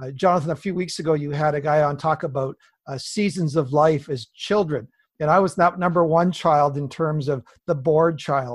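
A man speaks with a fairly high pitch and a somewhat breathy voice. The background is quiet. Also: fairly even intonation, moderate pace. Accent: Canadian. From British Columbia, Canada. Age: 50s. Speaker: pastor. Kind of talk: interview.

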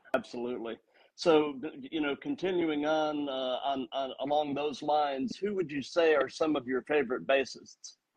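A man with a fairly high pitch, ordinary pitch variation and a moderate pace, a plain, everyday voice. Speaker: podcast host. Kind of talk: casual interview.

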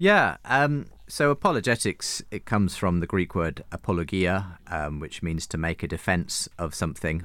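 On a very clean recording with a silent background, a man with a British accent and a very deep, low pitch talks at a moderate pace with lively intonation and hardly any pauses. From UK. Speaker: radio and podcast host. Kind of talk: interview. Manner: halting.

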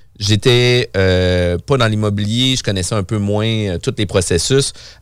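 Fairly low in pitch and fairly even in intonation, a man with an unremarkable speaking voice is heard on a very clean recording with a silent background. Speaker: podcast host, real estate broker. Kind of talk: casual chat.

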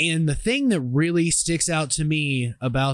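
Over a very clean recording with a silent background, a man speaks at a fairly slow pace in a fairly high voice. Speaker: wrestling podcast host. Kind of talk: wrestling promo. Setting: radio studio. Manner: animated.

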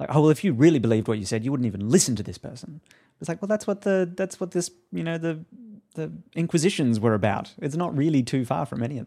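A man with an Australian accent speaks very fast in a fairly high voice with a dark, mellow tone, his pitch swinging very widely and his loudness rising and falling sharply, on a very clean recording with a silent background. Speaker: podcast co-host. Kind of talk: casual chat.

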